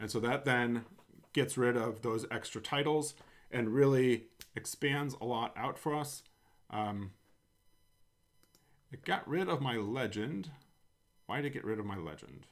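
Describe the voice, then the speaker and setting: A man with an American accent talks at a fairly slow pace with ordinary pitch variation. His speech has long, frequent pauses. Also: medium pitch for a man. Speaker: coding tutorial host. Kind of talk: tutorial. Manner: casual, with frequent fillers.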